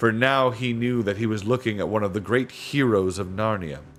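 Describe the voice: The pitch rises and falls in an ordinary way. The delivery is plain reading aloud.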